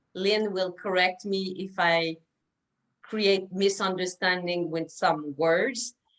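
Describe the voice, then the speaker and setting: A woman in a Quebec accent at a very slow pace, her intonation fairly even. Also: medium pitch for a woman. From Quebec, Canada. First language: French. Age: 50s. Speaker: naturopath, interviewer. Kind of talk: interview. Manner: halting.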